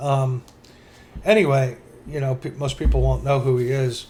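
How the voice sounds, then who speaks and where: His voice has a somewhat breathy quality. The man talks at a moderate pace. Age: 60s. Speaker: podcast co-host. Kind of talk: casual chat.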